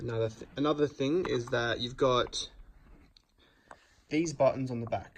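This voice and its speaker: At a medium pitch and a moderate pace, a man speaks with fairly even intonation, somewhat breathy and with long, frequent pauses. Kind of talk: product review talk to camera. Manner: casual.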